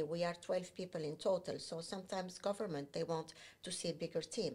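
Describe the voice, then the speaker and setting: At a fairly quick pace, a woman sounds somewhat breathy with fairly even intonation. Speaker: digital agency founder. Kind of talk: casual interview.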